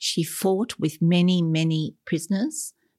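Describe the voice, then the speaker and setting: In a very clean recording with a silent background and a dry, close sound with no echo, a woman speaks at a fairly low pitch with an Australian accent. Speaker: adoptee sharing family story. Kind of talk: interview testimony.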